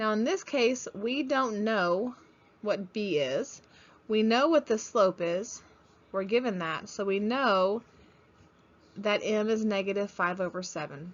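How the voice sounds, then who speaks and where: A woman talks at a fairly slow pace with a fairly high pitch and ordinary pitch variation. It is a normal speaking voice. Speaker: math teacher. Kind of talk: lecture.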